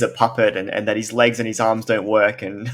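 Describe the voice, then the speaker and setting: Speaking in an ordinary speaking voice, a man keeps a moderate pace at a medium pitch. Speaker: interviewer. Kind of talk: interview questions.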